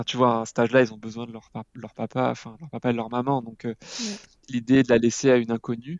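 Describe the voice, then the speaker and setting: With a monotone, flat intonation, a man delivers his words at a fairly quick pace. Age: 30s. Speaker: parenting blogger and father. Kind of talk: podcast interview. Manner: halting, with frequent hesitations.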